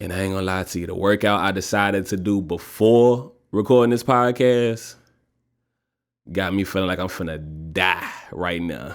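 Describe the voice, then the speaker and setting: In a very clean recording with a silent background, a man with a Louisiana accent talks at a moderate pace with a fairly low pitch and ordinary pitch variation. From Louisiana, north Louisiana. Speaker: podcast host. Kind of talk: casual solo podcast talk. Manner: animated.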